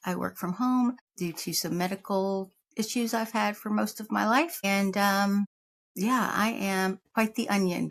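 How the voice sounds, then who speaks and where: Medium pitch and a fairly slow pace from a woman, with ordinary pitch variation. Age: 50s. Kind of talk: casual talk to camera. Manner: rambling, humorous.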